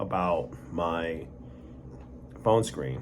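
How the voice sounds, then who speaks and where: A man speaks with audible room echo around him. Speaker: vlogger. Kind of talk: personal story monologue. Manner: halting, repeated words; casual conversational.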